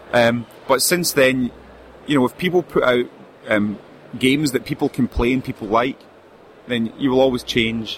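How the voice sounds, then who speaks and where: The speaker is a man with a medium pitch. There is noticeable background noise. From UK. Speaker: indie game publisher. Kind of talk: casual interview. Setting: convention booth.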